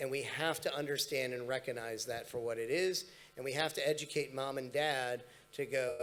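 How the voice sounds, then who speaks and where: A man at a moderate pace, fairly high in pitch, with ordinary pitch variation. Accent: Los Angeles. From US, Los Angeles. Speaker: panelist. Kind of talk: panel discussion. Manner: halting, many fillers.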